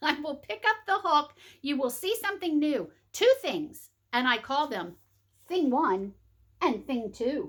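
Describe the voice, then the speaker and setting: Putting on a character voice, a woman speaks high-pitched at a fairly slow pace with long, frequent pauses. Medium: read story. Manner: showy, bouncy.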